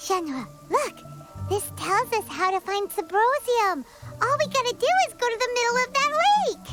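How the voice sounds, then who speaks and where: Clear music plays in the background behind a put-on character voice pitched extremely high. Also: moderate pace. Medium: machinima. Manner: energetic, fast, excited.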